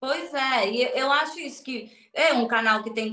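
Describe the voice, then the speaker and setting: The speaker has a Spanish accent and lively intonation. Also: woman. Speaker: interviewer, channel host. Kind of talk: interview conversation.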